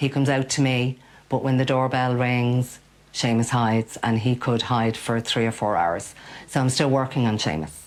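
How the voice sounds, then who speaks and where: Pitched very deep and low, a woman talks in a Dublin accent at a moderate pace. Her pitch variation is ordinary and her loudness very even. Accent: Dublin Irish. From Ireland, Dublin (Ballyfermot). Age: 50s. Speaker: cat sitter, business owner. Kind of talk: interview.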